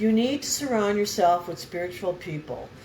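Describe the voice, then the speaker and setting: Noticeable background noise sits behind a woman speaking at a medium pitch. She talks at a moderate pace with lively intonation. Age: 70s. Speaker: spiritual vlogger. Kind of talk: casual chat. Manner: rambling, jumping between topics.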